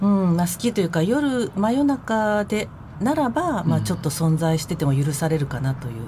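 A woman speaks fairly quickly in a dark, mellow, somewhat breathy tone. Her pitch swings very widely. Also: fairly low pitch for a woman. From Tokyo, Nerima ward. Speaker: head of a support group, former social recluse. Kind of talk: radio interview.

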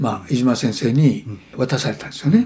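Speaking at a fairly quick pace, a man with a somewhat breathy voice keeps a medium pitch and ordinary pitch variation. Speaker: yoga teacher. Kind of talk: lecture.

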